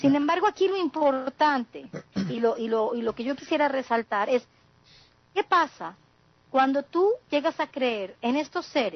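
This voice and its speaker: A woman with a high pitch and lively intonation talks at a fairly slow pace. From southeast Mexico. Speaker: communication sciences graduate, panelist. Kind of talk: panel discussion.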